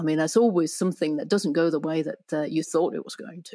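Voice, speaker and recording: Heard in a very clean recording with a silent background, a woman speaks with a Danish accent. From Denmark. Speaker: relationship therapist and writer. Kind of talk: casual interview. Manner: hesitant, many fillers.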